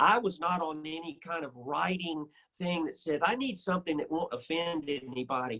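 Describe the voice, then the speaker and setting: A man with a Southern US accent speaks at a moderate pace with a fairly high pitch, ordinary pitch variation and a bright, sharp tone. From US South. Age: 60s. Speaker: musician. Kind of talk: interview.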